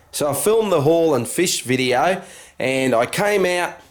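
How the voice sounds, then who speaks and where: An Australian-accented man speaks with very wide pitch swings. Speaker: LEGO vlogger. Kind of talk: casual vlog.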